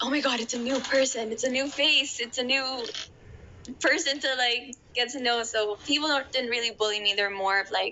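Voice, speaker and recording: The speech moves at a moderate pace with fairly even intonation. Noticeable background noise can be heard. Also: woman, high pitch for a woman. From Ireland. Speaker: podcast guest. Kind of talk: casual interview chat.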